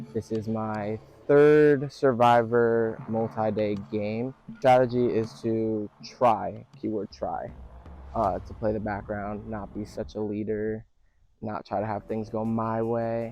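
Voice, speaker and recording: A man with a shaky, medium-pitched voice talks at a very slow pace and fairly even intonation, with music playing in the background. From North Jersey, US. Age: 20s. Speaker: reality game contestant. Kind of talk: confessional interview.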